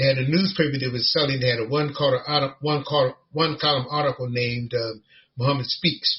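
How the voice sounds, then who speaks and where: A man with an American accent, fairly high in pitch, at a fairly quick pace with fairly even intonation. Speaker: imam. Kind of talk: personal life story in podcast interview. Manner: halting, many fillers.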